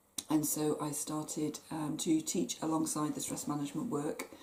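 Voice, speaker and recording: A woman with a West Country accent speaks at a very deep, low pitch. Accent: West Country twang. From southwest England, Plymouth. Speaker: stress management coach. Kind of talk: talk to camera.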